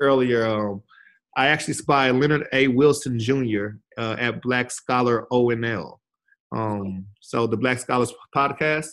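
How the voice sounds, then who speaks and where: The pace is very slow. The speaker has an American accent. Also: man, medium pitch for a man. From Texas, Fort Worth. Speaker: teacher and podcast co-host. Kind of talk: casual chat. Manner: animated, laughing often.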